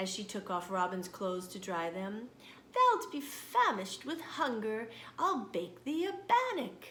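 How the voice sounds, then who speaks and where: A woman performs a put-on character voice with very wide pitch swings and big shifts in loudness. Background noise is clearly audible. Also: fairly high pitch for a woman, moderate pace. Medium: read story. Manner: kindly.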